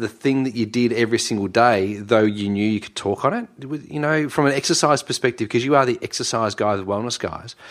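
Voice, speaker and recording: This man speaks with an Australian accent. His pitch is medium, with ordinary variation. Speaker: podcast co-host. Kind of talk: casual chat. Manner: excitable.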